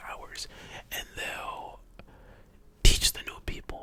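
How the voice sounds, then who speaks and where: Calm in tone, a man whispers over noticeable background noise. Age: young. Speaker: ASMR creator. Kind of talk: ASMR whispered storytime. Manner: whispered, soft-spoken, calm.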